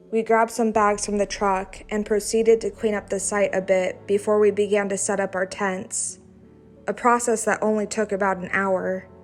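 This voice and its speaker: Music plays in the background as a woman speaks at a moderate pace. Her intonation is monotone and flat. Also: medium pitch for a woman. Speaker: horror story narrator. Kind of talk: horror story reading.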